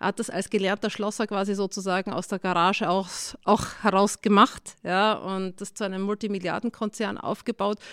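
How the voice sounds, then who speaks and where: A woman speaks in a flat monotone at medium pitch and a moderate pace. The recording is very clean and dry, with a close sound, no echo and a silent background. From Austria, Styria. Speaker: tech CEO and professor. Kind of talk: interview.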